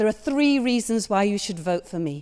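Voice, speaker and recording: The voice has a dark, mellow tone and a Hull accent. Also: woman. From northern England, Hull. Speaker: parliamentary candidate. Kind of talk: campaign speech at hustings. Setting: church hall with audience.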